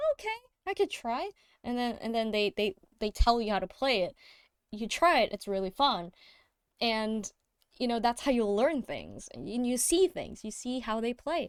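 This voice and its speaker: The speaker has a non-native accent and lively intonation at a moderate pace, with long, frequent pauses. The sound is dry and close with no echo, on a very clean recording with a silent background. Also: woman. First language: not English. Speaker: music producer streamer. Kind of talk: casual livestream chat. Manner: halting, many fillers and restarts.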